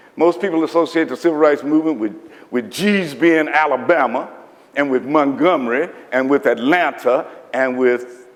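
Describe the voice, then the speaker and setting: A man's lively intonation moves at a moderate pace amid noticeable background noise. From eastern Kentucky (Lynch, Appalachia). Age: 70s. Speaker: historian and author. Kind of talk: public lecture. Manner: conversational, folksy.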